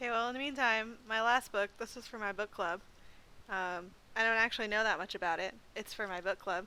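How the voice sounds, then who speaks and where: Loud and bright with a sharp tone, the voice moves at a fairly quick pace with fairly even intonation. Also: woman, fairly high pitch for a woman. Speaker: librarian. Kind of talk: casual chat.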